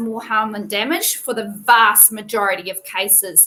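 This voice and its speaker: With a New Zealand accent, a woman speaks at a fairly slow pace in a bright, sharp tone. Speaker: veterinarian. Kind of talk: tutorial. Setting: live video stream. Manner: casual, conversational.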